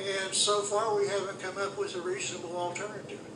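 A man's high voice at a fairly quick pace, with audible room echo and noticeable background noise. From Northeast Tennessee, Johnson City. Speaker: political candidate and minister. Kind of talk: radio interview. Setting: radio studio. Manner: halting.

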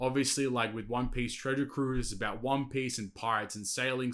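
A man has an unremarkable speaking voice, with a medium pitch at a fairly quick pace. The recording is very clean, with a silent background. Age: 20s. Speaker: podcast host. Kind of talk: casual solo monologue. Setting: bedroom home setup.

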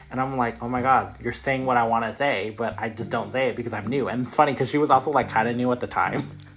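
A man talking at a very fast pace with hardly any pauses, over noticeable background noise. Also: medium pitch for a man, fairly even intonation. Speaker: nurse and podcast host. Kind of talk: casual chat.

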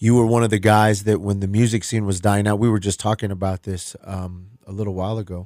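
Close and dry with no echo, a man's fairly low, dark, mellow voice moves at a moderate pace with monotone, flat intonation on a very clean recording with a silent background. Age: 50s. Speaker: musician. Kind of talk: casual chat. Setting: studio. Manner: halting.

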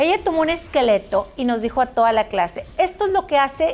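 A woman with a Mexican accent, high-pitched, fairly slow, with very wide pitch swings and noticeable background noise. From Mexico. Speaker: former radio presenter and exercise teacher. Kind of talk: casual chat.

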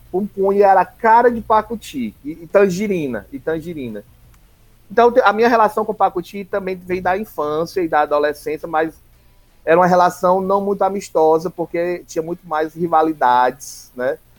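With a high pitch, a man speaks at a moderate speed. The pitch moves in an ordinary way. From Ceará, Brazil (Redenção/Palmácia, Maciço de Baturité). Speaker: school district coordinator and teacher. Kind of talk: interview, personal storytelling. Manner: fluent orator.

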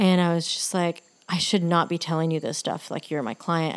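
A woman with an American accent talks at a fairly quick pace and a fairly low pitch, in an unremarkable speaking voice. The recording is very clean, with a silent background. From Texas, Lubbock. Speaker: spiritual podcast host. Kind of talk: personal storytelling monologue.

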